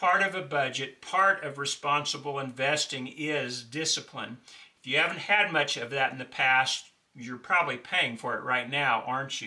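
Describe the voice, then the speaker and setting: In an unremarkable speaking voice, a man talks at a moderate pace and fairly high pitch, with ordinary pitch variation. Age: 60s. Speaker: financial advice video host. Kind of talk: monologue tutorial on budgeting. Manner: conversational, with filler uh.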